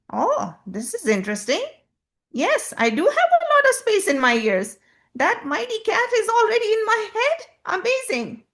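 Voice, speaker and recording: A squeaky, put-on character voice delivered at a moderate pace. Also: woman, extremely high pitch for a woman. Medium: read story.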